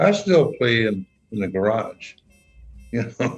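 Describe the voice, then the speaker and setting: A man with an American accent talks while music plays in the background. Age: 80s+. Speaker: jazz musician's brother. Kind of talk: interview. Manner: halting.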